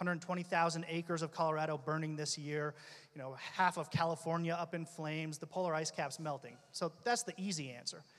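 A man talks at a fairly quick pace with fairly even intonation over a quiet background. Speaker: labour union leader; panelist. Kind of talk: panel discussion. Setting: stage with audience. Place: stage. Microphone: handheld.

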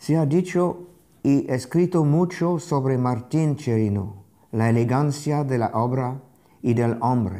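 Over a quiet background, a man with a strong non-native accent talks very slowly in a dark, mellow tone, with lively intonation and very even loudness. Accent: foreign accent in Spanish, strong. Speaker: art critic and curator, lecturer; lecturer. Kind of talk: lecture read aloud from a translated text. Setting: remote streamed video from Paris. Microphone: lapel.

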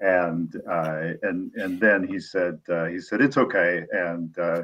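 Against a quiet background, the speaker has a Midwestern American accent. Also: man. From US Midwest, Peoria, Illinois; Illinois. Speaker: author; guest. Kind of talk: interview. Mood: warm, reflective storytelling. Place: home room. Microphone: video call.

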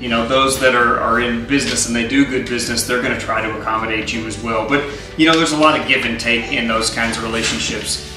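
With clear music in the background and audible room echo, a man speaks at a very fast pace with ordinary pitch variation. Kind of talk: casual explainer. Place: kitchen. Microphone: camera far.

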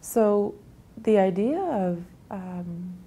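A woman speaks in a dark, mellow tone that is somewhat breathy. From Grand Rapids, Manitoba, Canada; Cree First Nation. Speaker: nurse. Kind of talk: interview answer. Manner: thoughtful, reflective. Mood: thoughtful, reflective, gently emotional. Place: home room.

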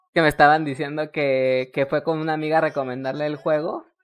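Her very deep, low voice moves at a fairly quick pace as this woman speaks. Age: 20s. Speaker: streamer. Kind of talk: casual gaming chat. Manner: animated.

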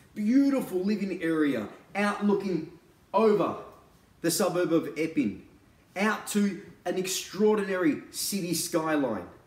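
A man with a high pitch and lively intonation at a fairly slow pace, amid audible room echo. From Australia. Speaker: real estate agent and auctioneer. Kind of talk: real estate sales pitch to camera. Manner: casual, conversational, persuasive. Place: home room. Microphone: camera far.

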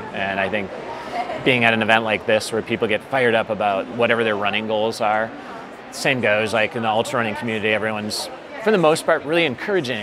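A man's very fast speech with ordinary pitch variation over noticeable background noise. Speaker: interviewee. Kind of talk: interview answer. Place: hall. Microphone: lapel.

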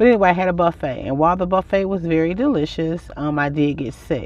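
A woman's normal speaking voice, fairly low in pitch, at a fairly quick pace with a dry sound and no echo. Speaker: van life vlogger. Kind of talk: casual vlog chat. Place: car. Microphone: phone near.

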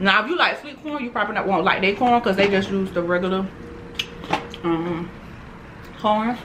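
With noticeable background noise, a woman talks at a fairly quick pace, showing ordinary pitch variation and taking long, frequent pauses. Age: 20s. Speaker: mukbang youtuber. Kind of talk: casual chat while eating. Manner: animated. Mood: relaxed, chatty.

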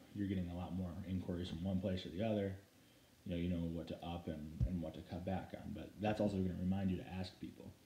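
A man with a very deep, low voice talks at a very fast pace, somewhat breathy and with fairly even intonation. There is audible room echo and light background noise. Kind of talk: tutorial. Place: home room. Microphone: phone near.

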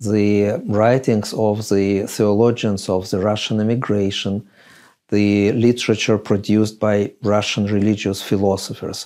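With a quiet background, a man speaks in a dark, mellow tone at a fairly slow pace and a fairly low pitch. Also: very even loudness. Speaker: interviewee. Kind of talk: interview answer. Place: home room.

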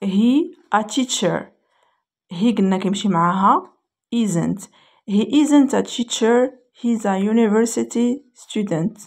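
A woman with a Moroccan accent, somewhat breathy, at a very slow pace. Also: fairly high pitch for a woman, ordinary pitch variation. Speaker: English teacher. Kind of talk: tutorial.

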